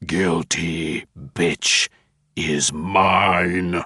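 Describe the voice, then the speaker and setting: A man growls in a put-on character voice, guttural and very deep, with a monotone, flat intonation. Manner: evil, menacing.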